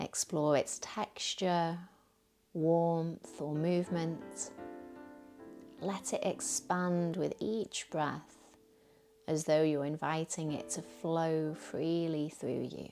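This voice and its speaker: Over background music, a woman with a fairly low pitch speaks at a very slow pace, with long, frequent pauses and ordinary pitch variation. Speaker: yoga teacher. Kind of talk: guided meditation. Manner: soothing.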